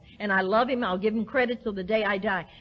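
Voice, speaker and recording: A somewhat breathy, animated woman with an American accent and ordinary pitch variation. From US South. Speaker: recovery speaker. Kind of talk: recovery talk to an audience.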